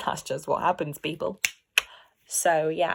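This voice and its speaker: A woman speaks with an English accent. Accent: posh, well-spoken English. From London, England. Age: 20s. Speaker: vlogger. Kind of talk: personal vlog monologue. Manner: animated.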